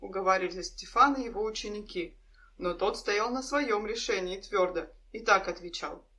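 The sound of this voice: The intonation here is lively. It comes from an unforced reading voice.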